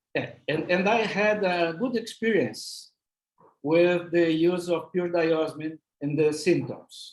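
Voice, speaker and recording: Using a high pitch and ordinary pitch variation, a man speaks very slowly with a non-native accent. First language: not English. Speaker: physician, lecturer. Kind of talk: Q&A answers. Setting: webinar. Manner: halting.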